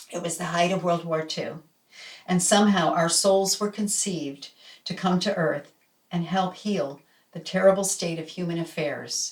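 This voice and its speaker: The voice is somewhat breathy. The pace is moderate. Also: woman, fairly low pitch for a woman, fairly even intonation. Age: 70s. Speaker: new age musician and storyteller. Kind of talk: reading aloud. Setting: home laundry room.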